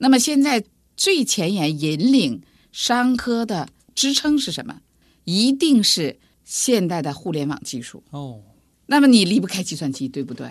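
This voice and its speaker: Against a quiet background, a woman with a northern Chinese accent speaks fairly slowly at a medium pitch, her pitch swinging very widely and her loudness rising and falling sharply. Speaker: computer science professor, dean. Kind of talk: interview.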